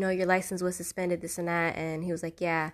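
The woman's intonation stays fairly even, and the background is quiet. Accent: American. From Fort Pierce, Florida. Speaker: podcast host. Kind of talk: casual chat.

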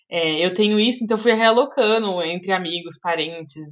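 A woman speaks with a Brazilian accent. Her pace is moderate. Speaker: podcast host, front-end developer. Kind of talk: casual chat.

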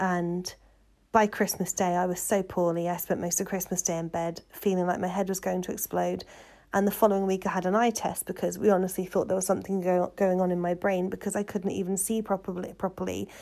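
A woman with a medium pitch talks in a monotone, flat intonation. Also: fairly quick pace. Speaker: podcaster. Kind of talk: casual solo chat.

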